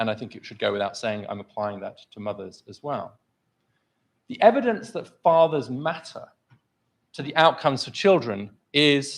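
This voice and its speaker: A very clean recording with a silent background, featuring a man at a moderate pace. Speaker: think tank scholar and author. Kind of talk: formal debate speech. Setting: stage with live audience. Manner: loud.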